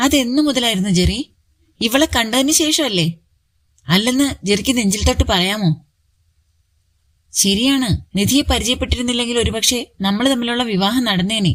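A woman's fairly high voice with vocal fry, very even loudness and ordinary pitch variation. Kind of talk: romantic story narration.

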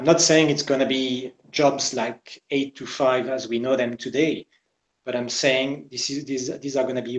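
Against a quiet background with audible room echo, a man talks at a medium pitch with fairly even intonation. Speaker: business consultant; conference speaker. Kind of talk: interview. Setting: video call. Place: home room. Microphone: webcam.

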